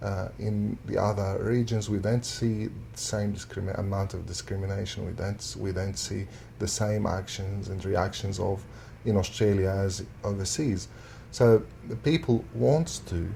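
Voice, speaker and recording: A fairly low-pitched man speaks at a fairly slow pace with an Arabic accent and ordinary pitch variation. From Syria. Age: 30s. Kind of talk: interview answer.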